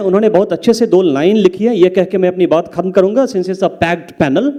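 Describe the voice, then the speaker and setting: A man speaks in a Bihar accent with a dark, mellow tone. His pitch shows ordinary variation. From Mithila, Bihar. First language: Maithili (speaking Hindi). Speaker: English professor, panelist. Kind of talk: panel talk at literature festival. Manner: code-switching Hindi and English, hesitant fillers.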